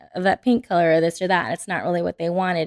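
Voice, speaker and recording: A woman speaks in a monotone, flat way. The recording is very clean with a silent background and a dry, close sound with no echo. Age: 30s. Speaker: interior designer. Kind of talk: casual chat.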